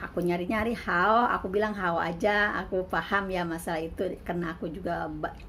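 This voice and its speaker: A woman uses an ordinary speaking voice at a medium pitch and moderate pace. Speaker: migrant domestic worker and vlogger. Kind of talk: casual vlog monologue.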